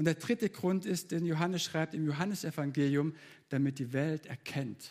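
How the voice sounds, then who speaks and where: A man has a plain, everyday voice, fairly high in pitch. He speaks at a moderate pace with ordinary pitch variation. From Baden-Württemberg, Germany (Leonberg). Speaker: preacher. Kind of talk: sermon.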